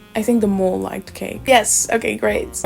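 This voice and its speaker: Against noticeable background noise, a woman with a non-native accent talks at a fairly quick pace in a medium pitch. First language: not English. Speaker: booktuber. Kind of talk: casual quiz commentary.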